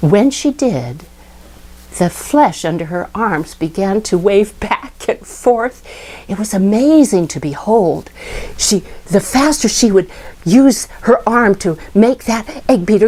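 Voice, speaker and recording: A woman with an American accent at a fairly slow pace, very wide pitch swings and noticeable background noise. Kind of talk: personal memory storytelling.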